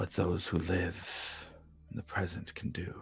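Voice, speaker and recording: A man does a put-on character voice with a very deep, low pitch. His pace is fairly slow. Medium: actual play. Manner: slow, solemn, formal.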